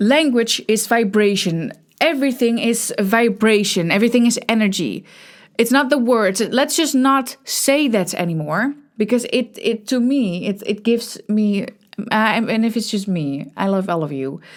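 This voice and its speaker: On a very clean recording with a silent background, a woman with a Dutch accent speaks at a moderate pace and fairly high pitch with lively intonation. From Netherlands. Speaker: podcast host. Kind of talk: casual monologue. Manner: halting, many false starts.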